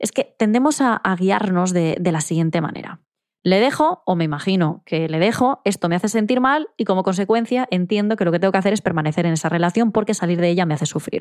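Speaking at a very fast pace with hardly any pauses, a woman with a medium pitch uses lively intonation and very even loudness, in a dry, close sound with no echo. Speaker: psychologist and podcast host. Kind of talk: solo advice monologue. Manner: direct.

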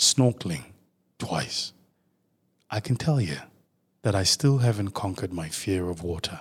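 Here a man talks at a fairly slow pace, somewhat breathy. His pitch makes very wide swings. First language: isiZulu. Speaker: podcast host. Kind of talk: storytelling monologue. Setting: studio. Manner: animated.

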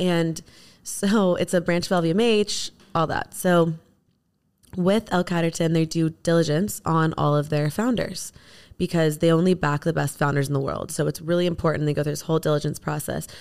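In a very clean recording with a silent background, a woman with a fairly low voice speaks at a moderate pace in a normal speaking voice. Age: 30s. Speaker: beauty brand founder. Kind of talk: casual chat.

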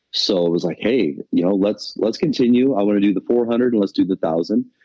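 The pitch moves in an ordinary way and the loudness stays very even. The pace is fairly quick. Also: man. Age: 30s. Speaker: amateur off-road motorcycle racer. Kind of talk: casual interview. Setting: phone call.

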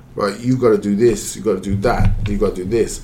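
Noticeable background noise sits behind the speech. The speaker, with a Welsh accent, keeps a fairly quick pace. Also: man. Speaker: football pundit. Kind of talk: casual football discussion.

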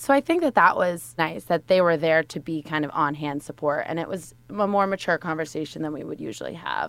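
A woman with an American accent speaks at a fairly quick pace. Her fairly low voice has vocal fry. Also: ordinary pitch variation, hardly any pauses. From Westchester County, New York. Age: 20s. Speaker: recent graduate, law firm employee. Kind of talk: casual chat. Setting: studio.

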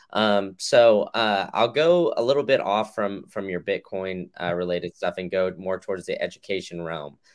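A man speaks with an ordinary speaking voice at a fairly low pitch, with ordinary pitch variation. He leaves hardly any pauses, and the background is quiet. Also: moderate pace. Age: 20s. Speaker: podcast host. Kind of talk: casual interview.

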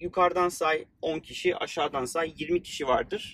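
A fairly high-pitched male voice at a fairly slow pace, with a dry, close sound and no echo. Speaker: podcast host and startup founder. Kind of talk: casual chat. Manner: informal, friendly.

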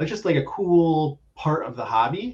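His voice comes across somewhat breathy. The man's pitch variation is ordinary. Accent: American. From South Florida. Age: 30s. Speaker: sports card collector. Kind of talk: casual chat.

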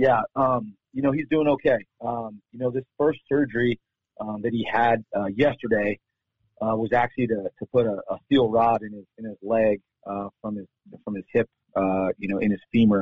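With a normal speaking voice, a man talks at a medium pitch and a moderate pace, keeping his intonation fairly even. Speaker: college football head coach. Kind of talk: casual interview chat. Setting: phone call.

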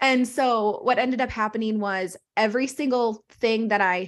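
A woman's fairly high-pitched voice, an ordinary speaking voice with ordinary pitch variation. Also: quiet background. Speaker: postpartum health coach. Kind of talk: casual chat.

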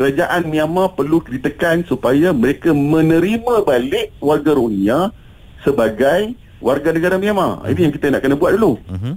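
Delivered at a moderate pace with lively intonation, this is a normal speaking voice. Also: man, fairly high pitch for a man. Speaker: humanitarian organisation official. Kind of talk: radio interview.

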